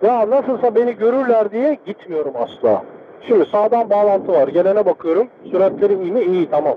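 A man's high-pitched voice at a moderate pace over light background noise. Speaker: motorcycle rider. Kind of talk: live riding commentary from inside helmet. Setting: helmet intercom recording while riding. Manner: casual. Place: motorbike. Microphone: helmet.

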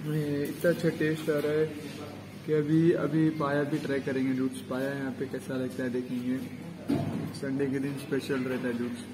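Noticeable background noise is present. The talking is fairly slow. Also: man. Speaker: food vlogger. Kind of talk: casual vlog chat. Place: cafe. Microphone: phone near.

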